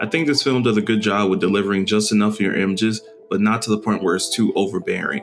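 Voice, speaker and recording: The speech comes at a very fast pace with very even loudness and fairly even intonation, music playing in the background. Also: man, fairly low pitch for a man. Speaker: film photographer. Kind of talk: casual review talk to camera.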